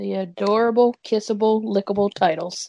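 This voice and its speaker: A woman's put-on character voice, sing-song, at medium pitch and a moderate pace. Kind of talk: mock-sweet. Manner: mocking, sing-song.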